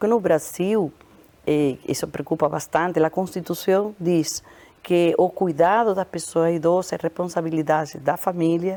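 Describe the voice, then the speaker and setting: Using a plain, everyday voice, a woman speaks fairly slowly at a fairly low pitch, with very even loudness and fairly even intonation. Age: 60s. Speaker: public health researcher. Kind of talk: interview.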